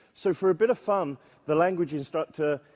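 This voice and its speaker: A man talks with a British accent. His pace is moderate. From Britain. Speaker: software testing conference speaker. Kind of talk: conference talk. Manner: hesitant, with filler words.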